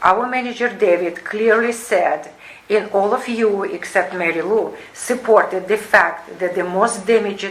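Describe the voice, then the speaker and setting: Non-native accent at a fairly slow pace with ordinary pitch variation, over noticeable background noise. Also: woman, fairly high pitch for a woman. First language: not English. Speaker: resident at homeowners association meeting. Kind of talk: reading a prepared statement. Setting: community board meeting. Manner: halting.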